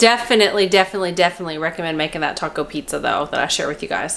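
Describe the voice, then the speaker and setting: Over noticeable background noise, a woman talks with lively intonation in a Kentucky accent. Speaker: cooking vlogger. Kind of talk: casual cooking tutorial. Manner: chatty, rambling.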